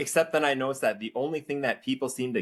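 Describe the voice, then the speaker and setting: A man with a Minnesotan accent speaks against a quiet background. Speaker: former teacher and political commentator. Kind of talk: casual chat.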